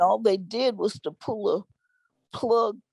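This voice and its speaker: A woman speaks at a very slow pace with a Texan accent. The sound is dry and close, with no echo. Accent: Texan Southern US. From Marshall, Texas. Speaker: activist, elder. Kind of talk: interview answer.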